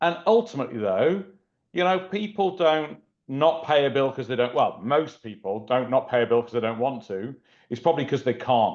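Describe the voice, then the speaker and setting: Over a quiet background, a man with a fairly high pitch speaks at a moderate pace, his pitch swinging very widely. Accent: British. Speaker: collections company executive. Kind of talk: webinar panel discussion.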